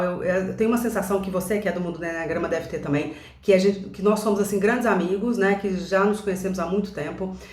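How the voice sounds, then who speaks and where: A woman talks at a very fast pace with ordinary pitch variation, with audible room echo and noticeable background noise. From Brazil, Belo Horizonte (Minas Gerais). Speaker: enneagram coach. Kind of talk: casual vlog monologue. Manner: hesitant, many filler sounds.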